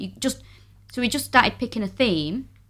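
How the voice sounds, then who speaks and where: A woman with a Mancunian accent speaks in a bright, sharp tone with vocal fry and very wide pitch swings. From Manchester, northern England. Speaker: comedian. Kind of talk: casual chat.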